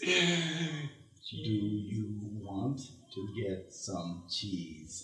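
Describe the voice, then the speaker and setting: A put-on character voice with a low pitch comes through with a slight echo. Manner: speaking with still lips.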